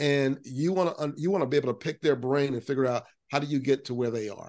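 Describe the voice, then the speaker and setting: An ordinary speaking voice comes through with an American accent and ordinary pitch variation. The background is quiet. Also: man. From US South, Central Florida. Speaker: business CEO and musician. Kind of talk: interview.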